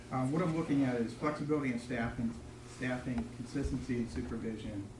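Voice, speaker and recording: A man speaks at a fairly quick pace. The audio carries audible room echo and noticeable background noise. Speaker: police chief. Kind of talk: public meeting presentation. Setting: city council meeting room. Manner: soft-spoken; formal.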